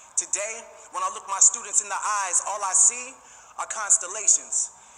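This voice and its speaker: Raising and projecting his voice, a man speaks with a passionate tone at a high pitch and moderate pace, his intonation fairly even, over noticeable background noise. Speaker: graduate giving a graduation spoken word speech, teacher. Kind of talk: spoken word poetry performance at a graduation ceremony. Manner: passionate, rhythmic, emphatic.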